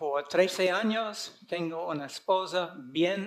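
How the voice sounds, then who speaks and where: A man's high voice in an American accent, very slow, with ordinary pitch variation. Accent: foreign (American) accent in Spanish. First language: English (speaking Spanish). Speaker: conference speaker, preacher. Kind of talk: sermon. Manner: halting.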